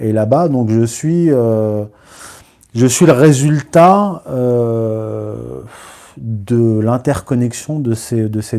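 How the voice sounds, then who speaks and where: This man has a dark, mellow tone at a medium pitch. His pitch varies in an ordinary way. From Morocco, raised from childhood in Paris and its suburbs. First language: Berber (Amazigh) (speaking French). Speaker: writer and historian. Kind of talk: live video interview. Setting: live stream. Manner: hesitant, many fillers.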